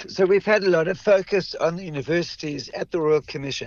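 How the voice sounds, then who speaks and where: Over noticeable background noise, a man with a high voice speaks at a moderate pace and with ordinary pitch variation. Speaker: Australia correspondent. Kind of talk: radio interview report.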